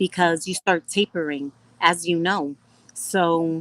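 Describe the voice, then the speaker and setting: A woman with a slight New York accent, a fairly low pitch and fairly even intonation, in a dry, close recording with no echo. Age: 30s. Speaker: professional boxer and MMA fighter. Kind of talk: casual interview chat.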